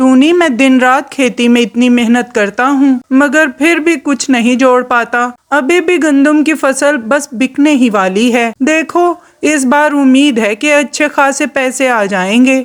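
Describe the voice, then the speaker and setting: A cartoonish character voice, female-sounding and high-pitched, moves at a moderate pace. It has hardly any pauses. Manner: earnest, worried.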